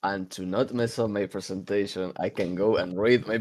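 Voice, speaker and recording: A man speaks at a moderate pace with an Argentine accent. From Argentina. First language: Spanish. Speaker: podcast co-host. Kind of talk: casual chat. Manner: halting.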